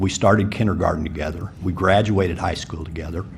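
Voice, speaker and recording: A man's very deep, low voice with audible room echo and noticeable background noise. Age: 50s. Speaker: city commission applicant. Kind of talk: public forum answer.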